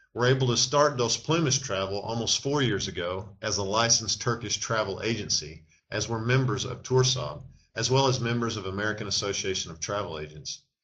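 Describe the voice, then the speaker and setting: With a Texan accent, a man speaks at a medium pitch and a fairly quick pace, using ordinary pitch variation. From Texas. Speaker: travel agency owner. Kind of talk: sales pitch.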